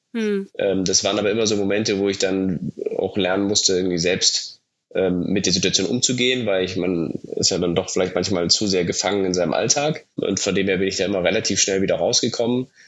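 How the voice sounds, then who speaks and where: Here is a man with an unremarkable speaking voice and a fairly low pitch. He moves at a fairly quick pace with fairly even intonation. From Germany, Munich (Bavaria). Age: 30s. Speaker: startup founder. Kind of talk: interview.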